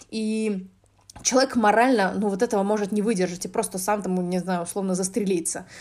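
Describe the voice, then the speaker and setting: Fairly even intonation and a fairly quick pace mark an unremarkable speaking voice. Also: woman, medium pitch for a woman. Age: 20s. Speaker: podcast host, business developer in games. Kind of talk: casual solo monologue. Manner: talkative, frequent filler sounds. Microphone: basic app recording, no good microphone.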